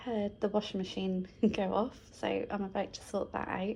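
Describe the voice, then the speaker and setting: A soft-spoken, somewhat breathy woman's voice at medium pitch, dark and mellow in tone, at a moderate pace. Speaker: crafting vlogger. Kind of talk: casual vlog chat.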